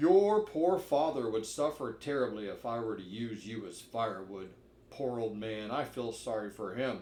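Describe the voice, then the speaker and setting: A man in a put-on character voice, medium in pitch, at a moderate pace. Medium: read story. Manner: gruff, blustering.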